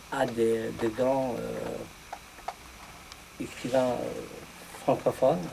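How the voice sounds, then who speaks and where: A man with an Algerian accent, over noticeable background noise. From Algeria, Kabylie. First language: Kabyle (speaking French). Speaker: poet. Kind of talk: round table discussion. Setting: bookshop with audience. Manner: halting.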